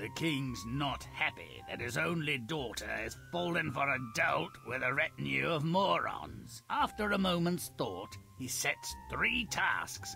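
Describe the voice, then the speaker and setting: Over clear music in the background, a man does a put-on character voice at a fairly slow pace. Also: medium pitch for a man. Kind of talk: sardonic storybook narration. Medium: machinima. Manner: wry, mocking.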